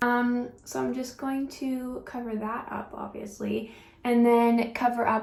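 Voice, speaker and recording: A woman speaks at a fairly high pitch, with audible room echo and noticeable background noise. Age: 20s. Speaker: beauty vlogger. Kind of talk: casual chat while doing makeup. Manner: casual with many fillers.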